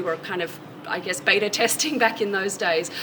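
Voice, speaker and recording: A woman speaks at a medium pitch and a fairly quick pace with ordinary pitch variation. Noticeable background noise is present. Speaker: university animal science extension specialist. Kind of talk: interview answer.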